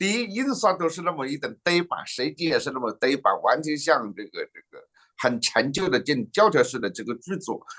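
Speaking at a moderate pace, a man with a high pitch makes very wide pitch swings against a quiet background. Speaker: political news show host. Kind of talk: political talk show. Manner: chatty, animated. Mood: critical, engaged. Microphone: video call.

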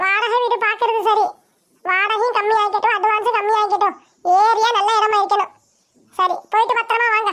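A woman speaks at an extremely high pitch with monotone, flat intonation. Her pace is moderate and her loudness is very even. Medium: fan dub. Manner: anxious, practical.

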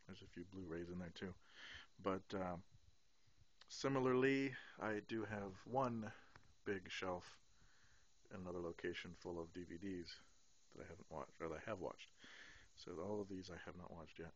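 A man speaks with a very deep, low pitch and long, frequent pauses. The sound is dry, without echo. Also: ordinary pitch variation, moderate pace. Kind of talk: casual vlog chat. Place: home room. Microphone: phone near.

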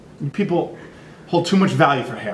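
With audible room echo and light background noise, a man talks at a high pitch. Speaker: teacher. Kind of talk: casual joking talk to students. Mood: playful, mock indignant. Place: classroom.

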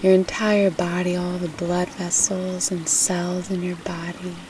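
Over noticeable background noise, a woman with a fairly low pitch speaks in a soothing tone at a very slow pace. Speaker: meditation guide. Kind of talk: guided meditation, hypnobirthing. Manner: soft, slow, soothing.

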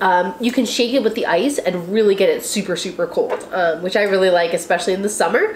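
A woman's fairly quick speech with audible room echo and light background noise. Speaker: tea channel host. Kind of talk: tutorial. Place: home room.

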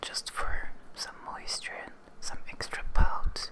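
Whispering comes from a woman. She goes very slowly. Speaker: beauty ASMR creator. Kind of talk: ASMR video talking to camera. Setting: close microphone, ASMR recording. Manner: whispered, soft-spoken. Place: home room. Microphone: studio mic.

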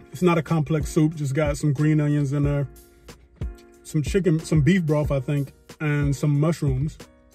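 A man talks at a moderate pace in a flat monotone. The sound is dry with no echo, and faint music plays in the background. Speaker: food vlogger. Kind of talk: casual vlog chat. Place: car. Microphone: phone near.

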